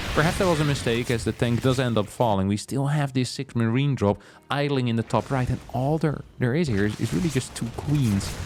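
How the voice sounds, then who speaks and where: Over music in the background, a man with a non-native accent talks at a fairly quick pace in a medium pitch. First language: not English. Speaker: esports caster. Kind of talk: live commentary. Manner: animated.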